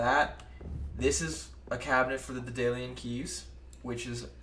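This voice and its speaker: Male speech carrying audible room echo, noticeable background noise behind it. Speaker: gaming video creator. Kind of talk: let's play commentary. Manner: fast.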